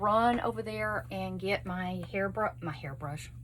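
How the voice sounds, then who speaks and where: A woman with a Texas accent speaks at a fairly slow pace. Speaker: beauty vlogger. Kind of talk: makeup tutorial chat. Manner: casual, chatty.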